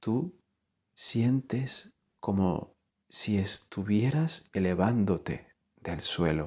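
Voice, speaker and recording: A man with a fairly low pitch speaks in a calm tone at a very slow pace. His intonation is lively, broken by long, frequent pauses. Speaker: yoga nidra teacher. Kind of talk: guided meditation. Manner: slow, calm.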